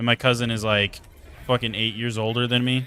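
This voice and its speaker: In an American accent, a man is talking. The pitch of his voice is medium. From Idaho, US. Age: 20s. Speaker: video game streamer. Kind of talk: live stream chat while gaming. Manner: casual, animated.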